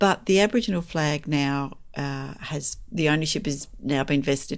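A woman with an Australian accent speaks at a moderate pace with lively intonation, her very deep, low pitch carrying vocal fry. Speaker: podcast host and author. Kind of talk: casual chat.

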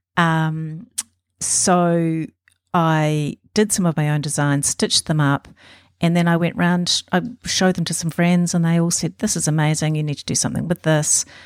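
In a New Zealand accent, a woman with a fairly low pitch talks at a moderate pace with fairly even intonation, the sound dry and close with no echo. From New Zealand, Auckland. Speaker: embroidery artist. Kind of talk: interview. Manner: hesitant fillers.

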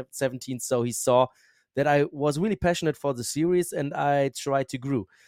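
A man speaks at a medium pitch. The sound is dry and close with no echo, on a very clean recording with a silent background. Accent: German. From Germany. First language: German. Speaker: motorsport commentator and journalist. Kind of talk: casual interview.

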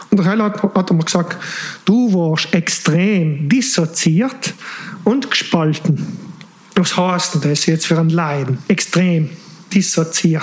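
Over noticeable background noise, the speech comes at a very slow pace with very even loudness. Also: man, high pitch for a man, ordinary pitch variation. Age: 40s. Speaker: engineer. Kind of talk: personal life story in casual interview. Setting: late-night recording.

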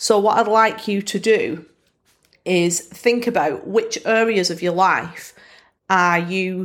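A woman with a northern English accent speaks at a very slow pace. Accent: Bolton northern English. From Bolton, northern England. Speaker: podcast host. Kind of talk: casual solo podcast monologue.

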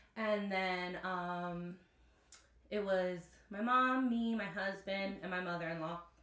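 The speech comes at a very slow pace with fairly even intonation. Room echo is audible, and background noise is noticeable. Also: woman, medium pitch for a woman. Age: 20s. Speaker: school district employee and mother. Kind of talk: casual chat.

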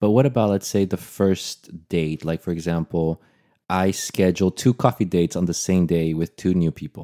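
In a Portuguese accent, a man speaks with a very deep, low pitch and a dark, mellow tone, his pitch varying in an ordinary way. The pace is moderate, the sound dry and close with no echo, and the recording very clean over a silent background. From Brazil. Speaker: podcast co-host. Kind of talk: casual chat.

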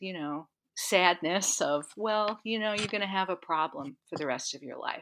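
A woman with a plain, everyday voice talks at medium pitch and a moderate pace with lively intonation. The recording is very clean, with a silent background. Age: 60s. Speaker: health coach and somatic educator. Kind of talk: interview.

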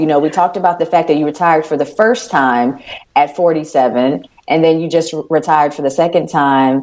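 A woman's very deep, low voice with an animated tone at a fairly quick pace. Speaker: radio host. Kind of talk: casual chat.

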